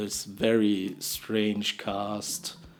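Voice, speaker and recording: Speaking with a strong non-native accent, a man talks at a medium pitch. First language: not English. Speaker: storytime vlogger. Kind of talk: storytelling monologue. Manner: halting, many repetitions and false starts.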